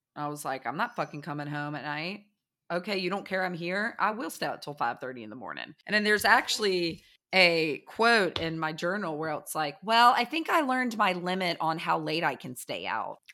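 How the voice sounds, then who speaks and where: With an American accent, a woman talks at a fairly quick pace in a bright, sharp tone, her fairly low pitch carrying lively intonation on a very clean recording with a silent background. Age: 40s. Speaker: podcast co-host. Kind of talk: casual chat.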